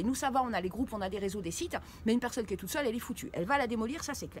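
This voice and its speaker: Over noticeable background noise, a woman talks at a very fast pace. Her voice is high, with lively intonation. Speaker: YouTube commentator on occult scams. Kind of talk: commentary video. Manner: halting, many fillers.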